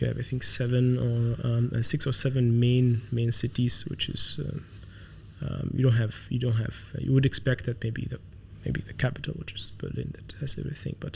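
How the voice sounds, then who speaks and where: A man with an Arabic accent, at a moderate pace. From Saudi Arabia (Khafji, Eastern Province). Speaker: tech company founder and CEO. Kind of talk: interview. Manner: halting, many fillers.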